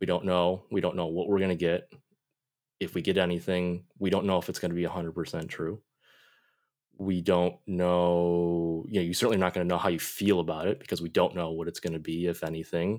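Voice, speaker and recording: A man's very deep, low voice, fairly quick and monotone, flat in intonation, on a very clean recording with a silent background. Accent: Western New York. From Buffalo, New York, US. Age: 30s. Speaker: Korean adoptee guest. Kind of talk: interview.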